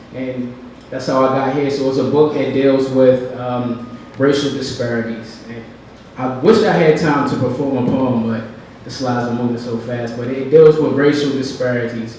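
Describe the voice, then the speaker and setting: A man with an American accent speaks at a medium pitch and moderate pace, his intonation fairly even. Audible room echo and noticeable background noise surround him. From Baltimore, Maryland, US. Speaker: poet. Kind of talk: short live presentation. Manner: casual, hesitant with many fillers.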